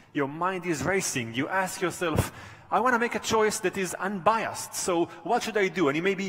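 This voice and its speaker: Noticeable background noise sits under a man speaking at a moderate pace. His pitch is high, with ordinary pitch variation. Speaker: professor. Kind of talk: conference talk.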